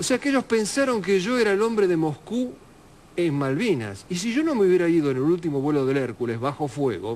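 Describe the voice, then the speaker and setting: A man speaks at a fairly quick pace in a high voice. His pitch swings very widely. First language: Russian (speaking Spanish). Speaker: war correspondent. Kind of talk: interview.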